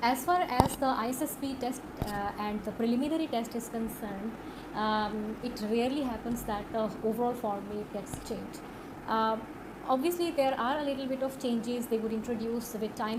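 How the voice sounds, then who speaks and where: A woman with a fairly high pitch and ordinary pitch variation at a moderate pace, amid noticeable background noise and audible room echo. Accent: Pakistani. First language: Urdu. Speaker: online course instructor. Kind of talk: tutorial. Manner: hesitant, many fillers.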